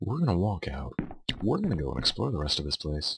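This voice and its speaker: This man's very deep, low voice swings very widely in pitch and carries vocal fry. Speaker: video game let's player. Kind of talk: gameplay commentary.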